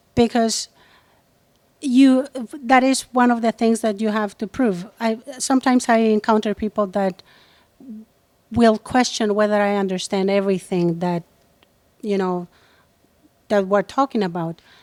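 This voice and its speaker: A woman with a fairly high voice speaks in a Spanish accent, with long, frequent pauses. The sound is dry and close, with no echo. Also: ordinary pitch variation, moderate pace. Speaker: entrepreneur and activist. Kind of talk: interview. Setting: on location.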